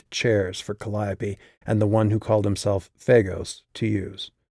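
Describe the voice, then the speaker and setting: A man speaks at a fairly slow pace with a dark, mellow tone. The very clean recording has a silent background and a dry, close sound with no echo. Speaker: author narrating own audiobook. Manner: measured, suspenseful storytelling pace; shifts into character voices for quoted dialogue.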